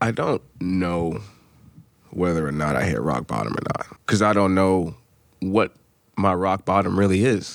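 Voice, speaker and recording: The speaker talks at a fairly slow pace in an American accent, with ordinary pitch variation and long, frequent pauses. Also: man, very deep, low pitch for a man. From US, New Hampshire. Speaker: former college athlete and rapper. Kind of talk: casual interview.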